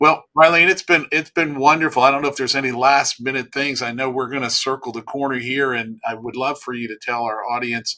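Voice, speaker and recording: His voice sits at a medium pitch with a bright, sharp tone. The man speaks with hardly any pauses. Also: fairly even intonation, fairly quick pace. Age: 60s. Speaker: podcast host. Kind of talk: interview conversation.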